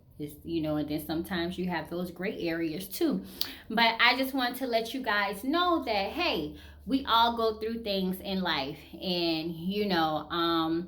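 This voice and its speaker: Speaking with an American accent, a woman takes a fairly slow pace. Her intonation is lively, and the room echo is audible. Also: medium pitch for a woman. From US South (Georgia, Savannah). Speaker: lifestyle vlogger. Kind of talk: casual chat. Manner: halting, with many fillers.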